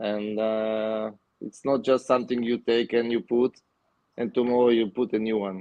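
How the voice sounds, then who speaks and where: Speaking with a non-native accent, a man holds a medium pitch and a moderate pace in a monotone, flat intonation. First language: not English. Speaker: aquascaper and aquatic plant grower. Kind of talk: casual interview. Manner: halting.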